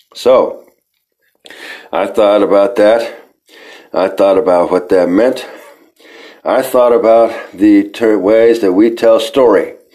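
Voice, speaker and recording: The delivery is very slow, with long, frequent pauses, fairly even intonation and very even loudness. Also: man, medium pitch for a man. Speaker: podcast host and storyteller. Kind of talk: mythic trickster poetry performed aloud, defiant and incantatory. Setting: solo recording for podcast.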